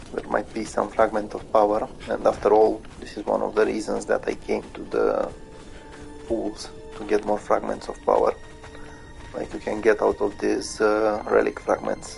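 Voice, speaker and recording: The speaker keeps a moderate pace. Music plays in the background. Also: man. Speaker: gamer. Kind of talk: live gameplay commentary. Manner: stuttering, hesitant.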